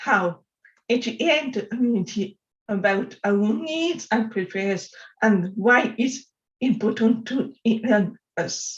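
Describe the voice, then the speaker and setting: Somewhat breathy, a woman talks at a very slow pace with ordinary pitch variation. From France. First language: French. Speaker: software developer and accessibility advocate. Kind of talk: conference talk. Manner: halting.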